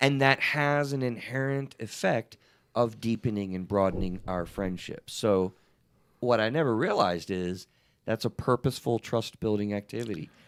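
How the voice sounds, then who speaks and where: A man with a medium pitch and an unremarkable speaking voice talks at a moderate pace with ordinary pitch variation. The sound is dry and close, with no echo. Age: 50s. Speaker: therapist and podcast host. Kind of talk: casual chat. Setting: live stream.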